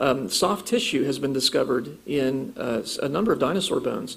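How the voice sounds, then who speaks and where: The speaker is a man with an American accent. His voice carries audible room echo. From US Midwest (Ohio). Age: 40s. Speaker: creationist speaker. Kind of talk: lecture.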